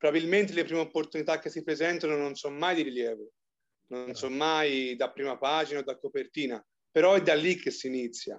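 Against a quiet background, a man talks fairly quickly at a fairly high pitch in an unremarkable speaking voice. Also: ordinary pitch variation. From Tuscany, province of Arezzo. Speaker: physiotherapist. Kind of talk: interview.

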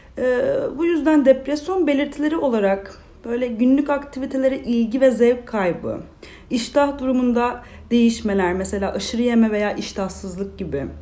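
A woman's high voice at a moderate pace, with ordinary pitch variation and audible room echo. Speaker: clinical psychologist. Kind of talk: interview, explaining mental health topics.

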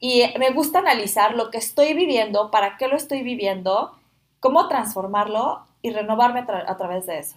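A woman with a fairly high pitch talks at a moderate pace, her intonation lively and her loudness swinging widely. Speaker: podcast host, former au pair. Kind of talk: casual chat. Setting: shared microphones in one room.

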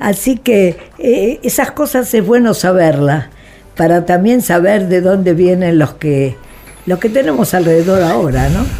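A woman speaks at a medium pitch and a fairly slow pace. Noticeable background noise runs behind her. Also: lively intonation, very even loudness. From Argentina, Buenos Aires. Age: 80s+. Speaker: human rights activist. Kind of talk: interview. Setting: studio.

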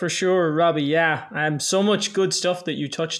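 A man with an Irish accent talks at a moderate pace, his intonation fairly even. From Ireland. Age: 20s. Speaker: online fitness coach. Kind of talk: casual interview chat.

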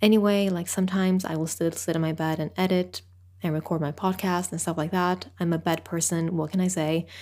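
Recorded very cleanly against a silent background, a woman speaks with a non-native accent at a fairly low pitch. Her delivery is fairly quick, with flat, monotone intonation. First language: not English. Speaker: solo podcast host. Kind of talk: casual solo monologue.

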